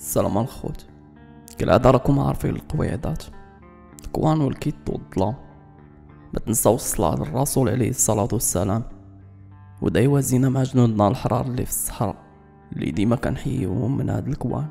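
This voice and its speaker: A man talks with a Moroccan accent and lively intonation, leaving long, frequent pauses. Music plays in the background. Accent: Moroccan Darija. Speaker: storyteller. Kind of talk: true-crime / history storytelling.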